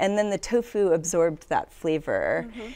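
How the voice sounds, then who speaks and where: The intonation here is lively. The pace stays moderate. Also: woman. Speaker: guest. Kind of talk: casual review chat. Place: studio.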